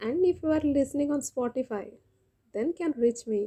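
This woman's voice has a dark, mellow tone. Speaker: poet and podcaster. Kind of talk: poem performed, reading aloud with repeated lines; solo poetry podcast, intimate address to listeners.

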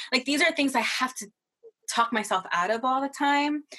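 A woman's bright, sharp tone with an American accent. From Massachusetts, US. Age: 20s. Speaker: nonprofit worker. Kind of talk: casual chat.

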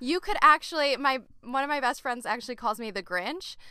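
A woman's high, raised and projected voice, bright and sharp in tone, with lively intonation at a moderate pace. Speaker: podcast co-host, homeschooling mother. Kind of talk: casual chat.

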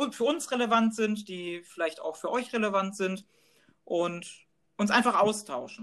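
Fairly slow pace and ordinary pitch variation. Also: man. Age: 30s. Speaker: podcast co-host, neurologist. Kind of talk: scripted podcast trailer.

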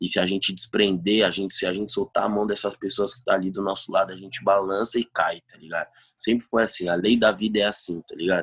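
A man with a fairly low pitch talks at a very fast pace with hardly any pauses and monotone, flat intonation. His loudness swings widely, in a dry, close sound with no echo. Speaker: trap artist. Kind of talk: casual chat.

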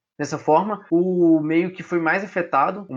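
The background is kept quiet. A high-pitched man is speaking. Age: young. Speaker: podcast co-host, environmental engineering student. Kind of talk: casual informative podcast chat.

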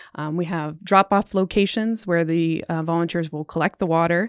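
In a very clean recording with a silent background and a dry, close sound with no echo, a woman with a plain, everyday voice and a fairly low pitch talks at a fairly quick pace. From Canada. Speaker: scientist, incoming program director. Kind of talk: casual interview.

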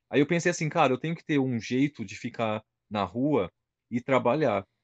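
A man talks at a fairly quick pace in an ordinary speaking voice, fairly high in pitch. The sound is dry and close with no echo, over a quiet background. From interior of São Paulo state, Brazil (São José do Rio Preto). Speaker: heavily tattooed body-modification personality. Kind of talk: casual interview.

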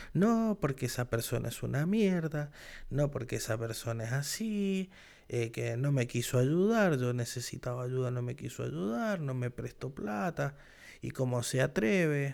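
Animated and with lively intonation, a man speaks at a medium pitch in an Argentine accent. His fairly slow pace comes through in a very clean recording with a silent background. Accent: Argentine Spanish (Rioplatense), voseo. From Argentina. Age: 30s. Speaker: podcast host. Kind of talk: solo monologue podcast.

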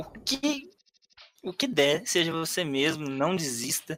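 At a fairly slow pace, a raised, projected voice sweeps through very wide pitch swings. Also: man. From Brazil, Minas Gerais. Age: 20s. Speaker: streamer. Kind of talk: casual interview.

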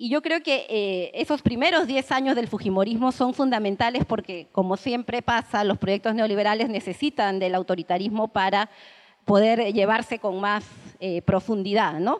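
Dry and close with no echo, a woman with an ordinary speaking voice talks at a moderate pace, fairly high in pitch, with ordinary pitch variation. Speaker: political analyst. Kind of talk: panel talk. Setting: room with audience.

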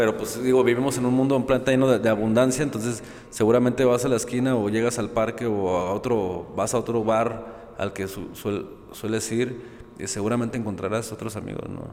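A man talks fairly quickly with fairly even intonation, with noticeable background noise and audible room echo. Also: medium pitch for a man. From Mexico, Guadalajara. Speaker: philosophy teacher and editor. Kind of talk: casual conversation.

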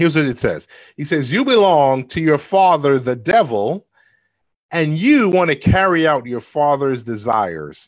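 A man with an unremarkable speaking voice and a fairly high pitch talks at a moderate pace. His intonation is lively, over a quiet background. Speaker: preacher. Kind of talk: sermon.

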